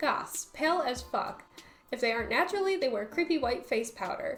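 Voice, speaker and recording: A woman speaks at a moderate pace with very wide pitch swings, music playing in the background. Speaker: YouTuber. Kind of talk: video essay narration.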